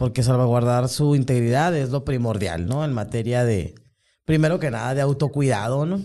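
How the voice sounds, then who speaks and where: At a moderate pace, a man speaks with a dark, mellow tone, medium pitch and ordinary pitch variation. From Mexico, Sonora (Hermosillo). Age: 50s. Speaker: human rights activist. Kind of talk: testimony. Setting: studio.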